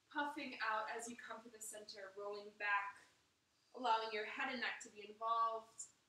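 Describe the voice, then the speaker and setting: A woman speaks with a bright, sharp tone and fairly even intonation. Audible room echo surrounds her voice. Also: moderate pace. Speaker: yoga instructor. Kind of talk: guided yoga instruction. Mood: calm, soothing. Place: home room. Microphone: camera far.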